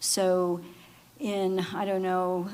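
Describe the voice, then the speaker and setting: A woman's medium-pitched voice in a monotone, flat delivery. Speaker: lawyer on a water panel. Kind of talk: panel talk.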